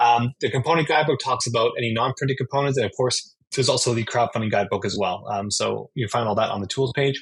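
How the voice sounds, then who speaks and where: With an American accent, a man talks at a very fast pace in a medium pitch, his voice somewhat breathy and his pitch variation ordinary. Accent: sounds American. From Canada. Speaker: board game manufacturing project manager. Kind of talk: interview with slide presentation. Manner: many fillers and restarts.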